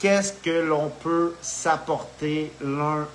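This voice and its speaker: Noticeable background noise surrounds a man who speaks at a fairly high pitch with fairly even intonation. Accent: Quebec. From Quebec. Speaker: spiritual video host. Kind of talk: casual live monologue. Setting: live video stream. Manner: halting, with many fillers.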